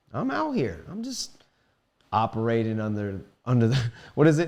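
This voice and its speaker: In an animated tone, a man at medium pitch talks at a fairly quick pace against a quiet background. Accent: American. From Maryland, US (Silver Spring area). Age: 30s. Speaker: musician. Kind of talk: casual chat.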